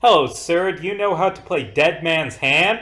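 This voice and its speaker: Putting on a character voice, a man speaks at a high pitch. His pace is moderate. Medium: actual play. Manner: courteous.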